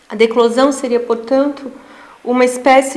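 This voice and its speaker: A soft-spoken woman's high, monotone voice with flat intonation, audible room echo and noticeable background noise. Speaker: researcher giving a lecture. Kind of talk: lecture. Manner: halting.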